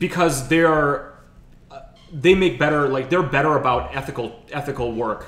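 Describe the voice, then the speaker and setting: Over noticeable background noise and audible room echo, a man speaks at a moderate pace. His pitch is fairly high, with ordinary variation. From Ukraine. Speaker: podcast host. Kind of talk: casual chat.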